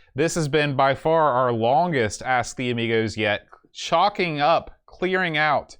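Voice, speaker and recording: An unremarkable speaking voice from a man with an American accent, fairly slow in pace with lively intonation, over a quiet background. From West Virginia. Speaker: podcast host. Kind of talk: casual chat.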